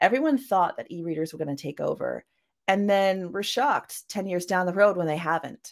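A woman speaks at a fairly quick pace with lively intonation. She has an unremarkable speaking voice at a medium pitch. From Canada. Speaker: science fiction author. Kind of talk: interview.

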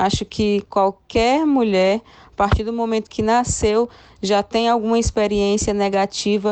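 In an ordinary speaking voice, a woman talks fairly slowly with fairly even intonation. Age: 30s. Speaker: journalist and radio presenter. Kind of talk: casual chat.

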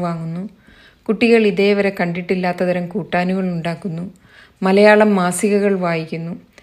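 In a very clean recording with a silent background, a woman speaks at a medium pitch with monotone, flat intonation. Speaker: blogger and writer. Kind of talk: reading aloud own blog essay.

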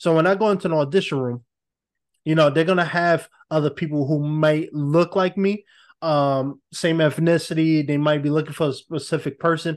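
This man has an unremarkable speaking voice, fairly high in pitch, with fairly even intonation. He speaks at a moderate pace against a quiet background. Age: 20s. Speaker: actor and podcaster. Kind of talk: casual interview.

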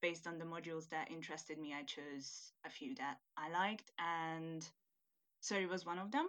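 Fairly low pitch from a woman, in a very clean recording with a silent background. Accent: Hungarian. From Hungary. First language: Hungarian. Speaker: university student, international student. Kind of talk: casual interview chat.

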